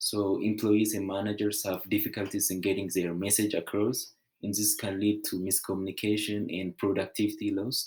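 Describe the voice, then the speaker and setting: A man speaks in a fairly low pitch with a strong non-native accent, at a moderate pace with hardly any pauses. His intonation is monotone and flat, and the recording is very clean with a silent background. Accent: heavy foreign. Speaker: student. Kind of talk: class presentation. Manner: halting.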